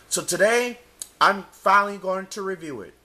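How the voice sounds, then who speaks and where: A man with a high pitch speaks in a raised, projected voice. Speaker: DVD reviewer. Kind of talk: casual talk to camera.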